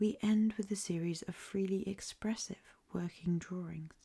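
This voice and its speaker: The voice is soft-spoken, with an English accent. It moves at a fairly slow pace. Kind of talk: ASMR book reading.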